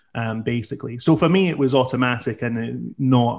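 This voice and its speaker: A man with a Scottish accent at a moderate pace. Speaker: socialist activist. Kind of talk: political discussion.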